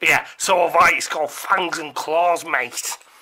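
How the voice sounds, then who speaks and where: A cartoonish character voice at a middle pitch speaks at a fairly slow pace. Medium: puppet show. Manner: gruff, irritable, dismissive.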